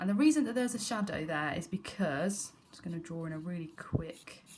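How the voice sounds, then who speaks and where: A somewhat breathy woman's voice. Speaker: art teacher. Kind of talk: tutorial.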